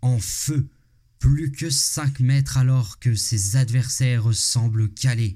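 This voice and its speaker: At a very slow pace, a man speaks in a somewhat breathy voice with a dark, mellow tone, medium pitch and ordinary pitch variation. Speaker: podcast host. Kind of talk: scripted narration. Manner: animated.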